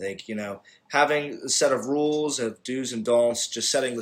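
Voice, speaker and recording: Here is a man with an American accent and an unremarkable speaking voice. He talks at a moderate pace. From Pittsburgh area, Pennsylvania. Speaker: student podcast co-host. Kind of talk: casual panel discussion.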